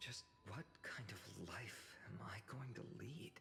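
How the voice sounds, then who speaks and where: In a put-on character voice, a man whispers and mumbles at a fairly slow pace. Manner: mumbling to himself.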